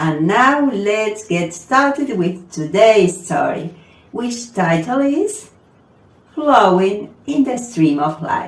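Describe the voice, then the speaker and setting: Very wide pitch swings and a somewhat breathy quality mark this very slow speech, which carries audible room echo. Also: woman, fairly high pitch for a woman. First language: not English. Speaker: storyteller. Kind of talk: reading aloud.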